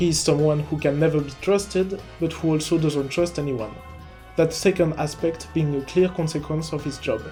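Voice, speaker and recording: With music in the background, a man with a non-native accent speaks at a fairly high pitch, a moderate pace and fairly even intonation. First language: not English. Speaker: video game analysis YouTuber. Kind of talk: video essay narration.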